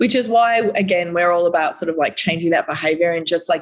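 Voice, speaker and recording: With an Australian accent, a woman speaks in a fairly low pitch with ordinary pitch variation. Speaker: recycling company representative. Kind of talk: podcast interview. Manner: animated.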